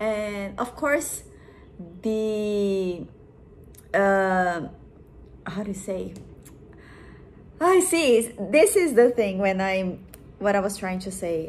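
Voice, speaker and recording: With a Portuguese accent, a woman speaks at a medium pitch amid audible room echo. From Brazil. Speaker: vlogger. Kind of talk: casual vlog monologue. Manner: halting, hesitant.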